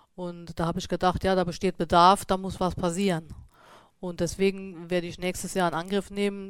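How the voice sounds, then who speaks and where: A woman talks fairly quickly in a monotone, flat voice. The recording is very clean, with a silent background. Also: medium pitch for a woman. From Saarland, Germany. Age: 40s. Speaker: beekeeper and shop owner. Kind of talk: interview. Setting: studio. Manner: hesitant, many fillers.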